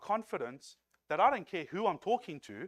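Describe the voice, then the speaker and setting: A man with a South African accent is heard in a dry, close recording with no echo. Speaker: lay preacher. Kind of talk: sermon. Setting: church.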